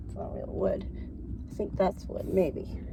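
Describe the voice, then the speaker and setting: A woman speaks against noticeable background noise. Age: 70s. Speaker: van dweller. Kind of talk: casual talk to camera.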